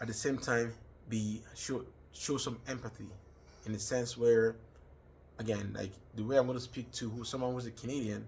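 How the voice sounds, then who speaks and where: With a Nigerian accent, a man at medium pitch speaks in a monotone, flat, somewhat breathy way, leaving long, frequent pauses. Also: moderate pace. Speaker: student. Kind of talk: personal reflection monologue. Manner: hesitant with fillers.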